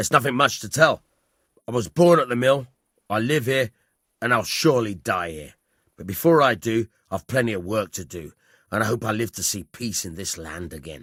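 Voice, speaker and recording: A man puts on a raspy character voice of medium pitch with lively intonation and big swings in loudness. He talks at a fairly quick pace but leaves long, frequent pauses. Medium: video game. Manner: plainspoken, steady.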